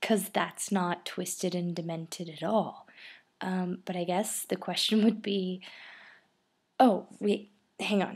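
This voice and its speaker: Soft-spoken and monotone, a woman with a medium pitch talks very slowly with long, frequent pauses on a very clean recording with a silent background. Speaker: vlogger. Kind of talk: casual vlog. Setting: outdoors then indoors, early morning. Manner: soft-spoken, talking quietly.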